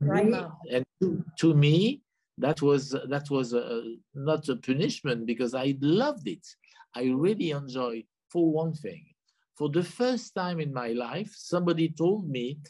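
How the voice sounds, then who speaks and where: Speaking in a French accent, a man with a fairly high pitch has a dark, mellow tone and lively intonation. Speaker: hotelier being interviewed.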